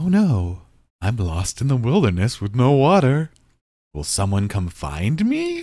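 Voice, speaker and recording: On a very clean recording with a silent background, a man with a medium pitch does a put-on character voice at a fairly slow pace with very wide pitch swings. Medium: solo performance.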